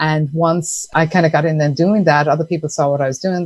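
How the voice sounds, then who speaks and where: In an Irish accent, a woman with a very deep, low pitch talks at a fairly quick pace and with fairly even intonation. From Ireland. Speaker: entrepreneur, sponsorship consultant. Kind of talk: podcast interview. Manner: casual, conversational.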